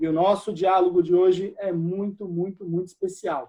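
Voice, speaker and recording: This man has a high pitch and a dark, mellow tone. He speaks fairly slowly. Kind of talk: online talk show host intro.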